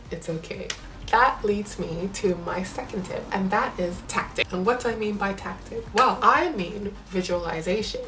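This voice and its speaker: An animated tone comes through audible room echo. Background noise is noticeable. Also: woman, medium pitch for a woman, ordinary pitch variation, moderate pace. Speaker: vlogger. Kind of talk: casual advice monologue.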